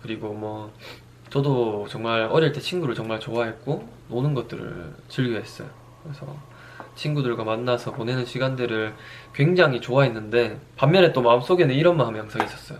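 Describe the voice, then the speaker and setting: A man at medium pitch and a fairly quick pace, ordinary pitch variation, big swings in loudness, audible room echo and noticeable background noise. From Daegu, South Korea. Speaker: fitness trainer and YouTuber. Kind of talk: personal monologue vlog.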